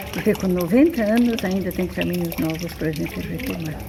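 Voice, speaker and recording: A woman at a moderate pace, with noticeable background noise and audible room echo. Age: 80s+. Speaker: religious sister. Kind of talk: testimony.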